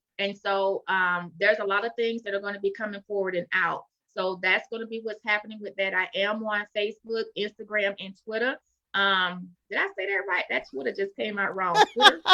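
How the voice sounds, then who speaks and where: A woman with a Florida accent, medium pitch and a fairly even intonation. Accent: Southern drawl, Florida twang. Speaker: author. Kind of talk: interview.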